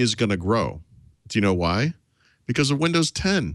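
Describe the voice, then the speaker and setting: A man speaks at a medium pitch with vocal fry and very wide pitch swings. The sound is dry with no echo, over a quiet background. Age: 40s. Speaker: tech journalist. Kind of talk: casual chat. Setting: remote hotel room in Las Vegas. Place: home room. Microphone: studio mic.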